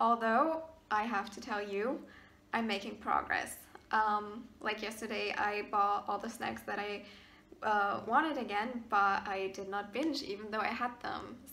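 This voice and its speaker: A woman with a German accent, fairly even intonation and a fairly slow pace, with audible room echo. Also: fairly high pitch for a woman. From Germany, partly raised in Maryland, US. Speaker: YouTuber. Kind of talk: casual Q&A vlog. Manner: hesitant, many fillers.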